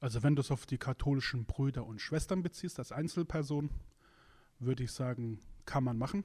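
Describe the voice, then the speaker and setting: On a very clean recording with a silent background, a man talks at a fairly quick pace in a dark, mellow, somewhat breathy voice, fairly high in pitch, with ordinary pitch variation and long, frequent pauses. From Germany, Musbach area. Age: 30s. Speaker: podcast co-host. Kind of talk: casual religious discussion. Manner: hesitant, many fillers.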